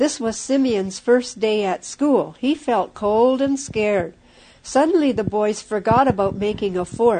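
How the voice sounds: This is a natural reading voice. Its pitch varies about as much as usual.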